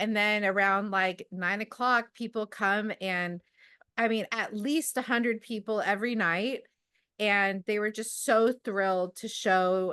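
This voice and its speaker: A loud, fairly high-pitched woman with a bright, sharp tone, fairly slow and fairly even in intonation, against a quiet background. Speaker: amateur astronomer, club member. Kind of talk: casual talk at an online club meeting. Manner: halting, many fillers.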